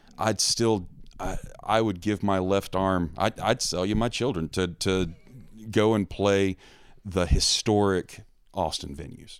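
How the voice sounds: In an American accent, a man speaks fairly slowly in a low pitch with a clear, smooth tone. The recording is very clean, with a silent background. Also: ordinary pitch variation.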